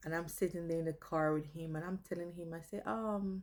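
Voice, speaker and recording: At a moderate pace, a woman talks in a fairly low voice. Her tone is dark and mellow. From Guyana, partly raised in St. Lucia. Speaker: vlogger. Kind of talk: personal storytelling. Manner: animated.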